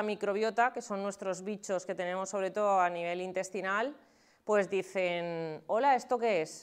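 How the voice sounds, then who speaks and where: A woman talks with fairly even intonation. The background is quiet. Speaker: nutritionist. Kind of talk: talk to an audience. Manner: fast.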